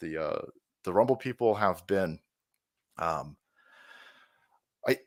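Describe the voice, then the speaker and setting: The recording is very clean, with a silent background. A man speaks with vocal fry. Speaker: streamer. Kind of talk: interview.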